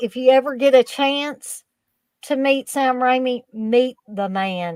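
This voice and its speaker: A woman with a Kentucky accent speaks very slowly in a high pitch with lively intonation, the sound dry and close with no echo. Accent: Southern Kentucky. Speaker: horror fan guest. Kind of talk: casual chat, anecdote. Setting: live stream.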